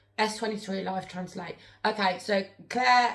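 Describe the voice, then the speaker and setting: Noticeable noise can be heard behind her. The woman's pitch is medium. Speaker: spirit board medium, live streamer. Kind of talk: live stream chat. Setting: live stream. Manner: fast.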